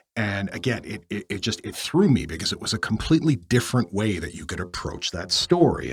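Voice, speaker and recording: Somewhat breathy man's voice at a fairly quick pace, with very wide pitch swings. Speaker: aspiring voice actor practicing voice work. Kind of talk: casual talk to camera, vlog. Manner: conversational, self-reflective.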